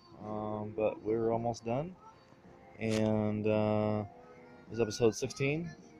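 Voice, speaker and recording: A man speaks very slowly at a fairly low pitch, with fairly even intonation and long, frequent pauses. Faint music plays in the background. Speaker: vlogger doing a delivery route; newspaper route helper vlogger. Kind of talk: casual vlog narration. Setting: indoors, retirement home. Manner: quiet, hushed.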